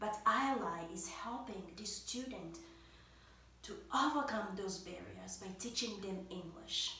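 Over light background noise and audible room echo, a woman talks fairly slowly at a medium pitch, with ordinary pitch variation and big swings in loudness. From Democratic Republic of the Congo. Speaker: college student and nonprofit board member. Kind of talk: prepared testimonial speech. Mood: warm, grateful.

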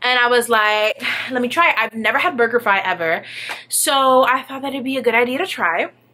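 A woman speaks with a high pitch and ordinary pitch variation. Her pace is fairly quick. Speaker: vlogger. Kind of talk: casual vlog chat. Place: home room. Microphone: phone near.

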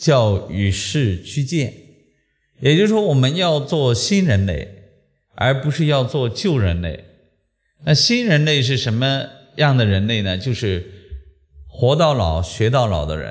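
Against a quiet background, a somewhat breathy man speaks at a fairly slow pace with very wide pitch swings and long, frequent pauses. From Shandong, China. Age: 50s. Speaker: lecturer on traditional Chinese metaphysics. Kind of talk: public lecture. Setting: lecture hall with live audience. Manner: animated. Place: classroom. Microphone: podium.

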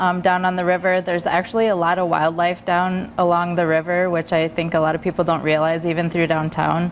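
A woman's fairly low voice at a fairly quick pace, an unremarkable speaking voice, over light background noise. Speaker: guest. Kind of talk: interview answer. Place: studio. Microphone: lapel.

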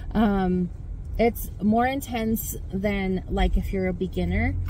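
Against light background noise, a woman speaks very slowly in a dry recording with no echo. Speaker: fitness vlogger. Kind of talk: casual vlog chat. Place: car. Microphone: phone near.

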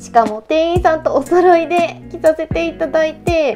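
A woman's extremely high-pitched voice at a moderate pace over music in the background. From Kochi Prefecture, Japan. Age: 20s. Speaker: actress and TV personality. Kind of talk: casual shopping chat with store staff.

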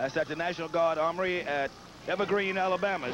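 High-pitched male voice with ordinary pitch variation, moderate pace, dry sound with no echo, and noticeable background noise. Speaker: wrestling announcer. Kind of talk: wrestling commentary, promotional. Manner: folksy, enthusiastic, promotional.

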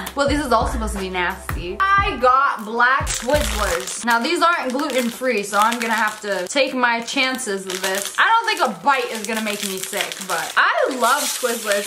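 A woman speaks at a moderate pace with hardly any pauses. Music plays in the background. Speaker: vlogger. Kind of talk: casual vlog chat. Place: home room.

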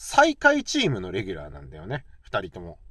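Against a quiet background, a man speaks at a moderate pace in a relaxed tone, the sound dry with no echo. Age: 40s. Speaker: YouTuber, baseball fan commentator; baseball fan vlogger. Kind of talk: casual solo talk; casual vlog commentary. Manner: relaxed, many fillers. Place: car.

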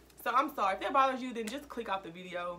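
Over light background noise, a woman with an American accent speaks at a fairly quick pace in a fairly high voice with lively intonation. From US South, Mississippi. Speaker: YouTuber. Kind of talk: casual vlog talk. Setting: at home, recording alone. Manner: casual, filler-heavy. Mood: earnest, serious. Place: home room. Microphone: phone near.

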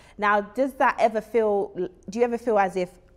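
Lively intonation at a fairly quick pace, with faint music in the background. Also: woman. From UK, Jamaican heritage. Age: 30s. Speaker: talk show host. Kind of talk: casual interview. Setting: studio. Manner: animated. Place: studio. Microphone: lapel.

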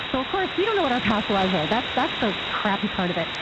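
The sound is dry, with no echo at all. Loud noise fills the background.

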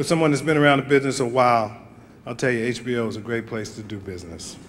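Here a man speaks at a very fast pace with ordinary pitch variation. There is light background noise. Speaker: television producer and director accepting an award. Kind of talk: award acceptance speech. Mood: grateful, formal. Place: hall. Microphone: podium.

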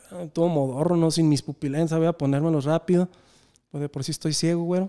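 A man with a high-pitched voice and a dark, mellow tone speaks against a quiet background. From Mexico. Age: 30s. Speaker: podcast host. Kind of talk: casual chat. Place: studio. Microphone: studio mic.

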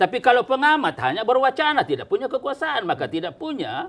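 A man at a fairly quick pace with an extremely high pitch. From South Sulawesi, Indonesia. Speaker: politician. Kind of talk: talk show interview. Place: office. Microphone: lapel.

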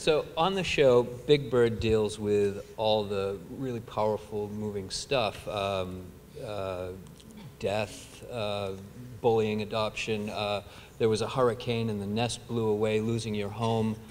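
A man of fairly low pitch at a fairly slow pace with fairly even intonation and light background noise. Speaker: event moderator. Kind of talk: onstage interview. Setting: stage with audience. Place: stage. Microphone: studio mic.

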